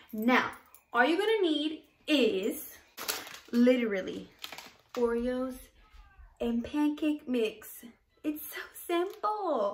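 This woman's voice is high-pitched, with very wide pitch swings. She talks at a very slow pace, with long, frequent pauses. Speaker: cooking vlogger. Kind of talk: casual cooking tutorial. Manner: chatty, informal. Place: kitchen. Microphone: phone near.

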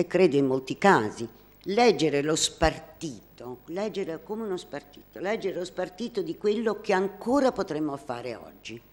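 A woman's voice makes very wide pitch swings. Her pace is fairly slow. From Naples, southern Italy; southern Italy. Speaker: art critic; presenter. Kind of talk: prepared talk, partly read aloud. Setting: hall with live audience. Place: hall.

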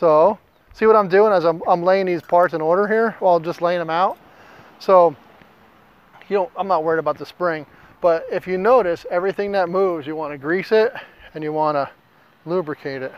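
Delivered at a fairly quick pace in an American accent, the speech has long, frequent pauses, ordinary pitch variation, and a dry sound with no echo. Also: man, high pitch for a man. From US Mountain West. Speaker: gunsmith and outdoor YouTuber. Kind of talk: tutorial. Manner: halting, stumbles over words; casual, folksy. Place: garden. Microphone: lapel.

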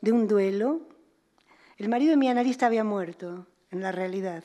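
A woman with a dark, mellow tone speaks with ordinary pitch variation over a quiet background. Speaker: psychoanalyst and author; psychoanalyst. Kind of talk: lecture. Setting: museum auditorium with audience. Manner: fluid. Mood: calm, reflective. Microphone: podium.

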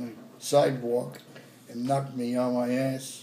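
A man with an American accent speaks slowly in a monotone, flat intonation, with light background noise and audible room echo. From New York. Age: old. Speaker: grandfather. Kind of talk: family storytelling. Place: home room. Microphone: phone near.

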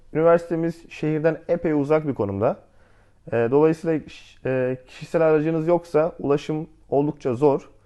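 Against a quiet background, a man speaks at a fairly high pitch with a dark, mellow tone and ordinary pitch variation. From Antalya, Turkey. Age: 20s. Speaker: architecture student. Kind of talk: casual interview.

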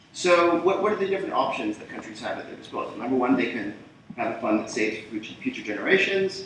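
Male speech in a room with clear reverberation and a faint bit of background noise. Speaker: policy researcher. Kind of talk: panel presentation. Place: hall. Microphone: camera far.

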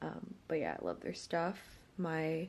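A woman speaks very slowly in a fairly low voice. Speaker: lifestyle vlogger. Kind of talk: casual vlog chat. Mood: relaxed, later annoyed. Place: home room. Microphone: phone near.

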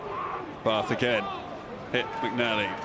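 A man speaks at a fairly slow pace in a raised, projected voice, with noticeable background noise. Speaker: rugby match commentator. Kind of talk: live sports commentary. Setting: over match footage, highlights reel.

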